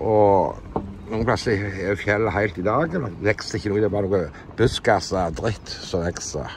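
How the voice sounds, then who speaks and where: A man speaks at a fairly slow pace with hardly any pauses, his pitch fairly low with ordinary variation. Light background noise is present. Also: dry sound with no echo. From Norway. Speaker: landowner commenting on a municipal complaint. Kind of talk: monologue commentary. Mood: dismissive, slightly annoyed. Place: car. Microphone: phone near.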